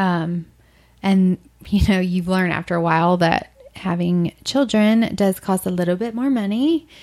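A woman's plain, everyday voice at medium pitch, moderate pace and ordinary pitch variation. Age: 30s. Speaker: blogger and adoptive single mother. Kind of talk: casual chat. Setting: in person at host's home.

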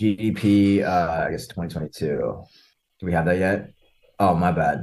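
A man's very deep, low voice with vocal fry, very slow, with ordinary pitch variation and a quiet background. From Canada. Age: 20s. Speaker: podcast guest. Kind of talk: casual chat. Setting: video call.

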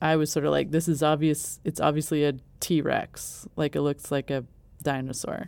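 This woman's voice is very deep and low, carrying vocal fry and a flat, monotone intonation. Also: moderate pace. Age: 40s. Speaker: podcast co-host. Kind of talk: casual chat.

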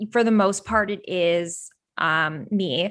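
In a very clean recording with a silent background, a woman speaks with a Canadian accent and a bright, sharp tone. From Toronto, Canada. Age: 20s. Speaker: TV producer and entrepreneur. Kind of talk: interview.

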